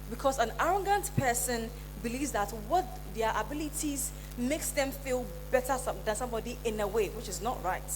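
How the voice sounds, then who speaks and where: A woman talks at a fairly quick pace. Her voice carries an audible room echo. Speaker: motivational speaker, event planner. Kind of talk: conference talk. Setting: stage with audience. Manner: halting.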